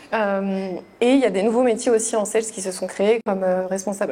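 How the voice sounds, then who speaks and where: Against noticeable background noise, a woman speaks at a medium pitch in a monotone, flat intonation. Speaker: HR manager. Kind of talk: webinar presentation. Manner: fast; hesitant, many fillers.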